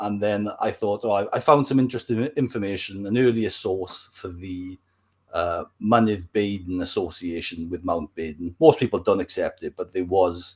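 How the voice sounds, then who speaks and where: A man in a Welsh accent at a moderate pace, lively intonation, on a very clean recording with a silent background. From Wales. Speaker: history YouTuber. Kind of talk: casual interview.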